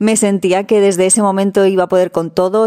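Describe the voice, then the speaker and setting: Speaking at a fairly quick pace, a woman keeps a monotone, flat intonation over noticeable background noise. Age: 30s. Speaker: van-life traveler. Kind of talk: recorded testimony.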